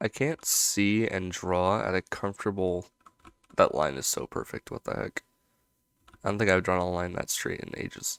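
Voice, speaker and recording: Quiet speech at a moderate pace, with ordinary pitch variation and a dry, close sound with no echo. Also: man. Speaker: animator YouTuber. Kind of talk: casual commentary while drawing. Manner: talking quietly.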